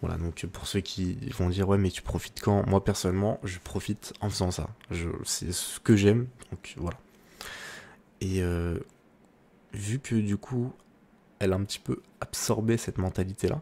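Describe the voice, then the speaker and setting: A soft-spoken man with a fairly low pitch and a dark, mellow tone talks at a fairly slow pace, with ordinary pitch variation and long, frequent pauses. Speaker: ASMR creator. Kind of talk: ASMR soft-spoken chat.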